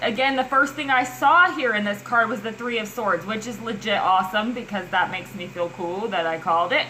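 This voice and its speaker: Noticeable background noise and audible room echo surround a woman speaking at a moderate pace in a fairly high voice. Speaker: tarot reader. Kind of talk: tarot reading monologue. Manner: halting; animated.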